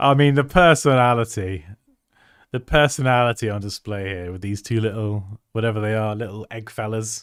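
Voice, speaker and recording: On a very clean recording with a silent background, a man with a British accent talks at a moderate pace and medium pitch, with ordinary pitch variation and big swings in loudness. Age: 30s. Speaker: graphic designer and design educator. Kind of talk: livestream design review. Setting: livestream. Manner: animated.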